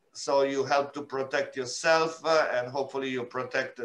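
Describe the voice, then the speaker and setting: A man with an Italian accent speaks at a fairly slow pace in a flat monotone, his pitch fairly high. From Italy, Milan. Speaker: UN refugee agency representative. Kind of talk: interview. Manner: halting, many filler sounds.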